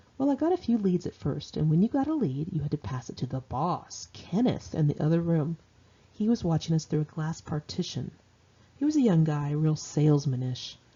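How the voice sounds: A woman speaks at a moderate pace in a low voice with big pitch swings. Her tone is dark and mellow, with a slightly husky edge.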